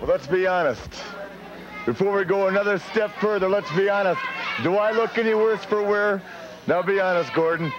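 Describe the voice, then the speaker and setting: The man's pitch is high and his intonation fairly even, at a moderate pace with long, frequent pauses. Noticeable background noise runs under his voice. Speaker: professional wrestler. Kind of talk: wrestling promo. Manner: brash, boastful, taunting.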